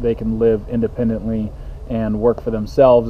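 Light background noise sits behind a man's voice. He talks at a fairly quick pace. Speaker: family vlogger. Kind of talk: casual vlog chat. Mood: warm, enthusiastic. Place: cafe. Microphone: phone near.

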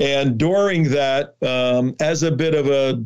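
A man with a New Jersey accent talks at a very slow pace. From New Jersey (Newark). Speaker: border activist and documentary producer. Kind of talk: interview.

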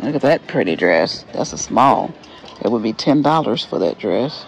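A man speaks with faint music in the background. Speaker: thrift shopper vlogger. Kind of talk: casual vlog chat. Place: shop. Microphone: phone near.

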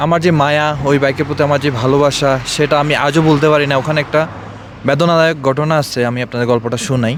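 Noticeable background noise surrounds a man's voice. His pitch is fairly high and his intonation fairly even. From Bangladesh, Feni district. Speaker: motorbike enthusiast, expatriate worker. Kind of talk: interview. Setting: outdoors in desert hills.

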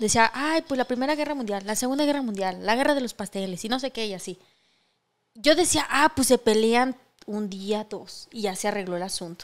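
A woman at a fairly high pitch, with lively intonation and a fairly quick pace over a quiet background. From Mexico. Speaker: podcast co-host. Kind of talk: casual chat. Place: studio. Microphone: studio mic.

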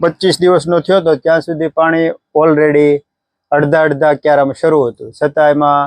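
The sound is dry and close with no echo. A man speaks in a monotone, flat delivery at a fairly high pitch. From Gujarat, Saurashtra (Talaja area). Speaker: farmer. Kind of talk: casual interview.

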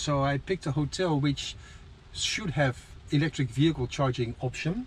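Light background noise sits behind a man talking at a moderate pace, the sound dry with no echo. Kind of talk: casual vlog chat. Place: car. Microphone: phone near.

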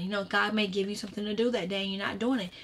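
A woman speaks at a medium pitch in a somewhat breathy voice. Her intonation is monotone and flat. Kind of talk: prayer and devotional teaching. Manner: conversational, repetitive, with fillers like you know; earnest, fervent in prayer. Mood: earnest, exhorting. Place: home room. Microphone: webcam.

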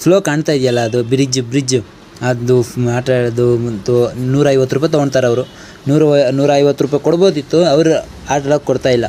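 Over noticeable background noise, a man talks with fairly even intonation and very even loudness. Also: medium pitch for a man. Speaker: travel vlogger. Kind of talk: travel vlog. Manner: halting.

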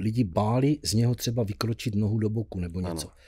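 A man talks very fast in a South Moravian accent, with a fairly low pitch and ordinary pitch variation. His voice has a dark, mellow tone, is somewhat breathy and sits in a quiet background. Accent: Blansko regional dialect. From Blansko, South Moravia, Czechia; South Moravia, Czechia. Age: 70s. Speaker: musician; podcast guest. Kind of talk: casual interview. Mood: cheerful, laughing. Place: studio. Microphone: studio mic.

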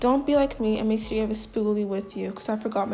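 A woman speaks very fast. Faint music plays in the background. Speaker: beauty vlogger. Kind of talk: beauty tutorial talk to camera. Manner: casual. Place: home room. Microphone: phone near.

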